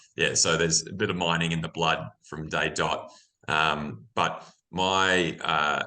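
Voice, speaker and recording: With an Australian accent, a man speaks at a fairly slow pace in a very deep, low pitch, his tone bright and sharp and his intonation fairly even. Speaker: mining executive. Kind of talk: interview. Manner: many fillers and repetitions.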